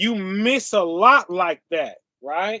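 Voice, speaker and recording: A man's raised, projected voice, high in pitch with ordinary variation, bright and sharp in tone, in a dry, close sound with no echo. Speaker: bible teacher. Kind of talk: sermon. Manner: slow, deliberate.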